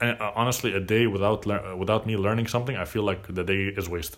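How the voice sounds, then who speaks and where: A man talks with fairly even intonation. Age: 20s. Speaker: podcast host. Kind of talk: solo monologue. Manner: casual, hesitant with fillers.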